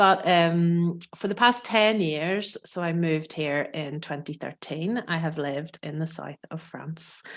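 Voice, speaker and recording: Speaking with an Irish accent, a woman talks at a fairly slow pace with hardly any pauses, a fairly low pitch, and ordinary pitch variation. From Northern Ireland. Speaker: food and cooking educator. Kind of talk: podcast interview.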